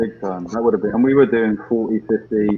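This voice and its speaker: A man speaks at a moderate pace with a British accent, his fairly low voice carrying fairly even intonation. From UK. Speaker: motorcycle rider, video creator. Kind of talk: casual chat.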